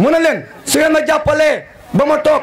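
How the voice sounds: A man speaks at a moderate pace in an extremely high pitch, his intonation lively.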